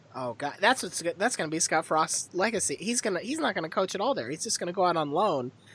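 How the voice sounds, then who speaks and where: A woman with a fairly low voice talks at a very fast pace, her tone animated and her intonation lively. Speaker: podcast host. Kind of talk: casual sports banter podcast. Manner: sarcastic, animated.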